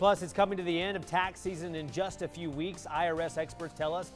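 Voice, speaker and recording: Over music in the background, a man talks at a fairly quick pace with a high pitch and fairly even intonation. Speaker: local TV news anchor. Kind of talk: TV newscast anchor read. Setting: studio.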